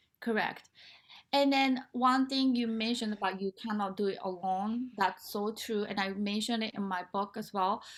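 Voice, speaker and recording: A woman with a Japanese accent speaks at a fairly high pitch with fairly even intonation. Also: moderate pace. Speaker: nonprofit founder and motivational speaker. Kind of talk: interview. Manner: halting, with many fillers.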